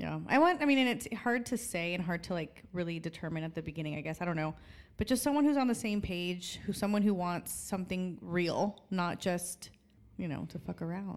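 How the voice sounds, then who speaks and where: A woman's normal speaking voice, fairly low in pitch, fairly quick and lively in intonation, on a very clean recording with a silent background. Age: 30s. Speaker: podcast host. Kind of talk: casual chat.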